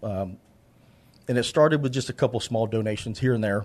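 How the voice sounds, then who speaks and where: Against a quiet background, a man talks with an American accent. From San Antonio, Texas. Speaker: charity founder and contractor. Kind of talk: casual interview chat.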